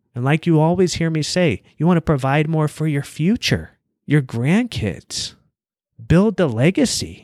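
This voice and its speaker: Over a silent background in a very clean recording, a man with an American accent and an unremarkable speaking voice talks at a fairly high pitch with lively intonation. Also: fairly slow pace, dry, close sound with no echo. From United States. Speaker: podcast host, business coach. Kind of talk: motivational monologue.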